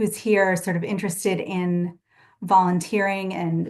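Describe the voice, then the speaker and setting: This woman talks at a fairly slow pace in a monotone, flat intonation. The background is quiet. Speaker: victim rights organization staff presenter. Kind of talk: training webinar presentation.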